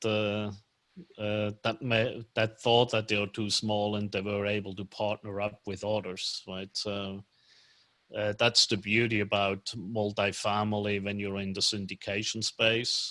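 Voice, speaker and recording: A man speaks at a fairly slow pace in a fairly low pitch with a bright, sharp tone. The recording is very clean, with a silent background. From Switzerland, German-speaking part (Lucerne). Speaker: commercial real estate financier. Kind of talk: casual chat. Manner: halting, many fillers.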